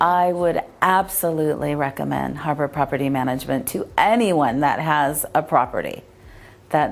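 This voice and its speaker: A woman speaks in a Californian accent. Her pitch is very deep and low, with ordinary pitch variation. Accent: Californian American English. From San Pedro, California. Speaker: rental property owner. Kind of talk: customer testimonial.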